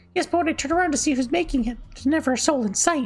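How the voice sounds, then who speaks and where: A put-on character voice from a man, in an extremely high falsetto at a very fast pace. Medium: game stream.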